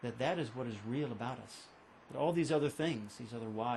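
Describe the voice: The clip is plain reading aloud.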